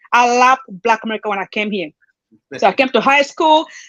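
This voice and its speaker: A woman with an African accent speaks at a very fast pace in a bright, sharp tone, the sound dry and close with no echo. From southern Africa, Angola/Namibia. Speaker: panel guest. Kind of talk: casual discussion.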